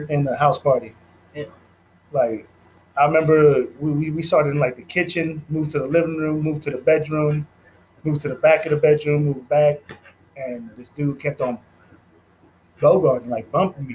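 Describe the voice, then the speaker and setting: Somewhat breathy and fairly high in pitch, a man speaks at a moderate pace, with long, frequent pauses and big swings in loudness. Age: 40s. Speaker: podcast host. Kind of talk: casual chat. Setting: studio. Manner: animated.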